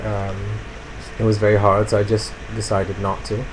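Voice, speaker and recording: A man with a fairly low pitch speaks at a moderate pace in monotone, flat intonation. Noticeable background noise and audible room echo run through the recording. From Italy. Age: 20s. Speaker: vlogger. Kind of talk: personal video blog. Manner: calm; hesitant, many fillers.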